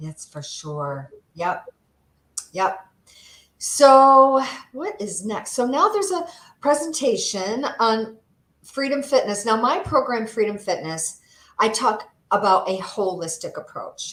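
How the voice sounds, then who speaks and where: A woman's fairly high voice with an American accent, a very slow pace, long, frequent pauses, big swings in loudness and very wide pitch swings. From upstate New York. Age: 50s. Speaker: holistic health coach. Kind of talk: interview; presentation.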